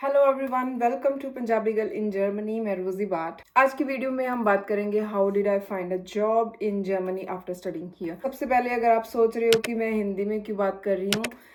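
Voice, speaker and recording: A woman's fairly high voice at a moderate pace, with ordinary pitch variation and hardly any pauses. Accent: Punjabi. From Punjab, India. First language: Punjabi. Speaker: vlogger. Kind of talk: vlog tutorial.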